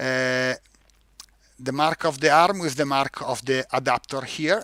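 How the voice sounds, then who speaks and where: Bright, sharp tone from a man with an Italian accent, fairly slow pace, ordinary pitch variation, and a dry, close sound with no echo. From Italy. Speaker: product manager presenting a product. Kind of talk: live-stream webinar tutorial. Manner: halting, many fillers and repeats.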